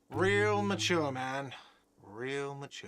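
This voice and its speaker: Putting on a whiny character voice, a man speaks at a medium pitch. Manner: shouting.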